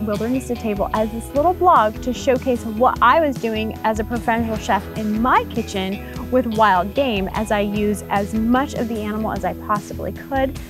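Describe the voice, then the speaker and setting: A woman at a moderate pace with hardly any pauses, dry sound with no echo, and clear music in the background. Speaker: show host. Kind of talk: interview answer. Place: forest. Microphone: lapel.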